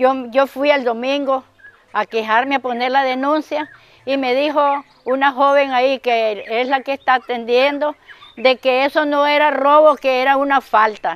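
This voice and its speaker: A woman with a high pitch talks at a fairly slow pace and fairly even intonation, the sound dry with no echo. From Nicaragua. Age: 80s. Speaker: car owner, crime victim. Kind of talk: news interview testimony; interview answer. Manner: halting. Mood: aggrieved, recounting a theft. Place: street. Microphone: lapel.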